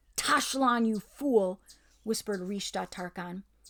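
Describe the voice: The clip is plain reading aloud, and the pitch varies in an ordinary way.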